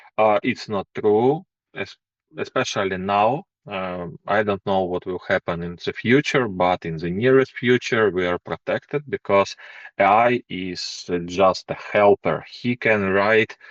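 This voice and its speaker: With a non-native accent, a man speaks at a fairly slow pace, his pitch fairly low with ordinary variation. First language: not English. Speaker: programming course instructor. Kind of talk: course intro presentation. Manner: hesitant, many fillers.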